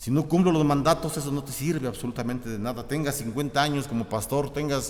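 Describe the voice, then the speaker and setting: The speech comes at a fairly quick pace. Noticeable background noise and audible room echo fill the recording. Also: man. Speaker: pastor. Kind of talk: sermon. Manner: halting, repetitive.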